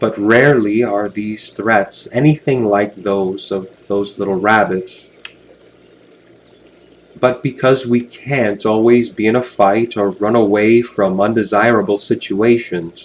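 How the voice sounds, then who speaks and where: This man has an unremarkable speaking voice, pitched fairly low. He talks at a fairly slow pace with fairly even intonation. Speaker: hypnotherapist, guided hypnosis narrator. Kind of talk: guided hypnosis, relaxation script.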